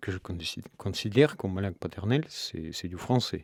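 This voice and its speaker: Speaking at a fairly quick pace with lively intonation, a man is heard in a very clean recording with a silent background. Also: dry, close sound with no echo. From Russia. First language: Russian (speaking French). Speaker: novelist. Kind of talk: radio interview. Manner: hesitant, many fillers.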